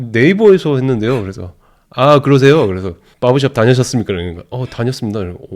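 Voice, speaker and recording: A man's animated tone. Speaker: YouTuber, husband of the channel owner. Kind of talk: casual chat. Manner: animated, laughs often.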